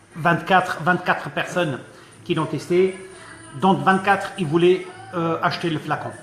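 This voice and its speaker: Long, frequent pauses from a man with a high pitch, a fairly slow pace and flat, monotone intonation, over noticeable background noise. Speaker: e-liquid maker testing recipes. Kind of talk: live stream product talk. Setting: live stream at shop counter.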